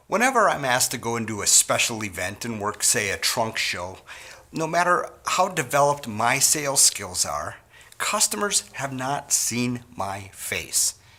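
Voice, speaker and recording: Speaking fairly slowly at a medium pitch, a man swings his pitch very widely over noticeable background noise. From US Midwest, Wisconsin. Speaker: sales trainer. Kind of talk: training talk.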